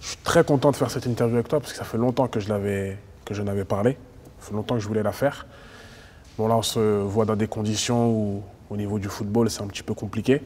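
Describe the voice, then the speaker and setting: This man talks at a very fast pace with fairly even intonation. His pitch is fairly low. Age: 20s. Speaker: interviewer. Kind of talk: interview.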